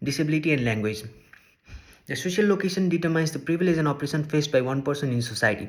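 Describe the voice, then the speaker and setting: A man with a fairly high pitch and a Nepali accent. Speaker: social work student. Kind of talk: scripted presentation.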